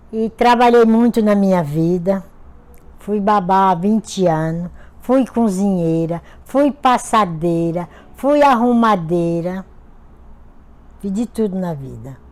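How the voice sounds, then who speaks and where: Using lively intonation at a medium pitch, a woman speaks at a very slow pace with long, frequent pauses. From Pernambuco, Brazil. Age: 60s. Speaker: retired domestic worker. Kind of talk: interview.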